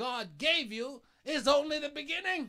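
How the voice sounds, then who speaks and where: A man's raised, projected voice, bright, sharp and animated, at a fairly slow pace against a quiet background. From Bahamas. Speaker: pastor. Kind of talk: sermon. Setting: church. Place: church.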